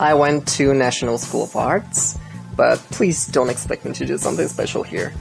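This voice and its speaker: A man with a Bulgarian accent at a moderate pace, with music in the background. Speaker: screenwriter. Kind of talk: personal life story narration.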